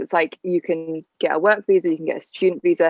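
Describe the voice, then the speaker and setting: With a British accent, this speaker moves along at a fairly quick clip. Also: woman. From England. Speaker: au pair and podcast co-host. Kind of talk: casual chat.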